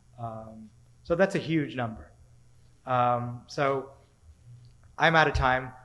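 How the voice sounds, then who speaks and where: A man speaks very slowly at medium pitch in a bright, sharp tone. Long pauses come often, and room echo is audible. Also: ordinary pitch variation. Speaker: education researcher. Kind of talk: conference talk. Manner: halting.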